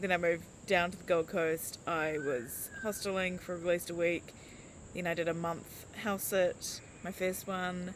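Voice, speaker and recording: Speaking with a New Zealand accent, a woman goes at a fairly slow pace with a fairly low pitch and fairly even intonation. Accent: New Zealand, mumbling. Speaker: life coach. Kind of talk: casual vlog chat. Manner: rambling with fillers and hesitations.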